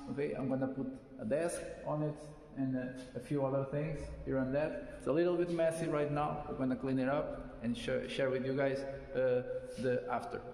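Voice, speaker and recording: Over noticeable background noise and audible room echo, a man talks at a fairly quick pace broken by long, frequent pauses. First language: not English. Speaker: DIY car mechanic vlogger. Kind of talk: casual vlog walkthrough. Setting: empty garage. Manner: halting, many filler sounds.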